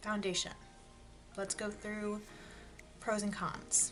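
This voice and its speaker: A woman speaks softly. Music plays in the background. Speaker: beauty youtuber. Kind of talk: product review. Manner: quiet, speaking softly.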